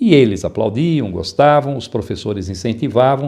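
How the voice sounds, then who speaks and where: The voice is dark and mellow in tone, somewhat breathy. It moves at a moderate pace with lively intonation. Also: man. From interior of São Paulo state, Brazil (Araraquara). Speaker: public speaking teacher and author. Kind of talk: interview.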